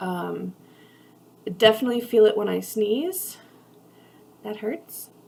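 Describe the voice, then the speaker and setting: A woman talks very slowly while noticeable noise fills the background. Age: 20s. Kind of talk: casual talk to camera. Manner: hesitant, many filler words.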